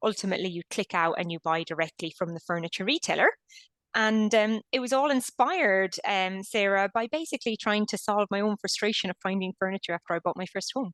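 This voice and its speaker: A woman with an Irish accent speaks at a fairly quick pace in a medium pitch with ordinary pitch variation. The sound is dry and close with no echo, over a quiet background. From Ireland. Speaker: company founder and CEO. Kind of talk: interview.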